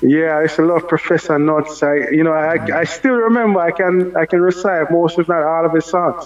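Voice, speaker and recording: A man with a Jamaican accent talks at a fairly quick pace, with hardly any pauses. His voice is high, and his intonation stays fairly even. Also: very even loudness. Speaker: dancehall artist. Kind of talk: radio interview.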